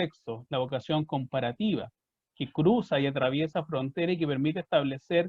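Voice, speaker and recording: With a Chilean accent, the speaker moves at a moderate pace with ordinary pitch variation. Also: man. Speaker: historian, book presenter. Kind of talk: book presentation talk. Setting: online video event.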